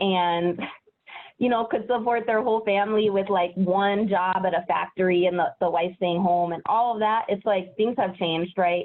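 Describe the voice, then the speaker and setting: At a moderate pace, a woman with an unremarkable speaking voice keeps a medium pitch and very even loudness. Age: 30s. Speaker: educator, interview guest. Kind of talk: interview. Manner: casual, lots of fillers.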